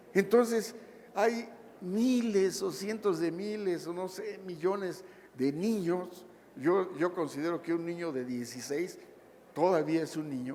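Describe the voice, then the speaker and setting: A man's high-pitched voice at a fairly slow pace, with ordinary pitch variation and audible room echo. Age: 60s. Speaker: labor lawyer. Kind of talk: lecture.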